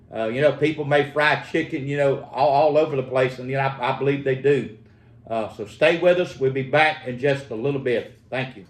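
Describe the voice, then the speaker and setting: In a Southern US accent, a man talks at a fairly quick pace and fairly high pitch, with fairly even intonation and big swings in loudness. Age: 60s. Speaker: home cook. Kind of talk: cooking tutorial. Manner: halting, many fillers.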